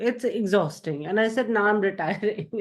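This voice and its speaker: In a quiet setting, a woman with an ordinary speaking voice talks at a medium pitch and a moderate pace, with ordinary pitch variation. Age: 60s. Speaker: video producer and healer. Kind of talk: coaching session participant.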